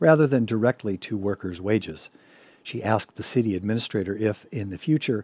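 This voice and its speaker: A man with a plain, everyday voice talks at a fairly quick pace and fairly low pitch with ordinary pitch variation, dry and close with no echo on a very clean recording with a silent background. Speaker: radio news host. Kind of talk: news reading. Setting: studio.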